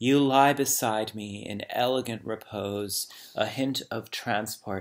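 Over a quiet background, a man speaks at a very slow pace with fairly even intonation. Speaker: poet reading aloud. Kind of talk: poetry reading. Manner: slow, measured, hushed; contemplative, lyrical. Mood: calm, reflective. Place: home room. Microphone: webcam.

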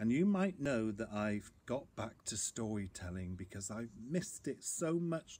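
A natural reading voice

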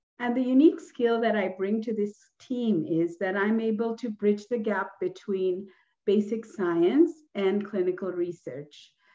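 The voice has a Sri Lankan accent, a dark, mellow tone and lively intonation, moving at a fairly slow pace. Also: woman, medium pitch for a woman. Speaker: research project manager and scientist. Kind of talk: webinar panel presentation. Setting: video call.

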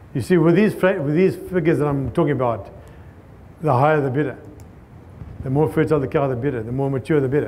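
Speaking very fast yet with long, frequent pauses, a man with a southern African accent has a fairly high pitch, a dark, mellow tone and ordinary pitch variation. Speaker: cattle rancher and grazing consultant; conference speaker. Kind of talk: conference talk. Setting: stage with audience. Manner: fast talker. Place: hall. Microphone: lapel.

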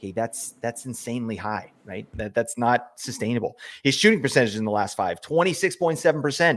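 Lively intonation and big swings in loudness mark this man's delivery at a moderate pace. He barely pauses, and the background stays quiet. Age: 40s. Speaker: fantasy hockey podcast host. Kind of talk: casual chat. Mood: relaxed, analytical. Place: home room. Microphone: studio mic.

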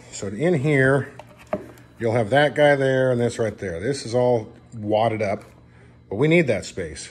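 Ordinary pitch variation in a man's speech. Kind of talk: tutorial. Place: garage.

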